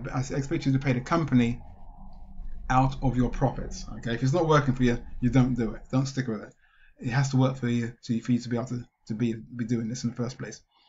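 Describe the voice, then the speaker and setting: A man puts on a raspy character voice at medium pitch. He talks at a fairly quick pace yet leaves long, frequent pauses. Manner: excited, fast-talking.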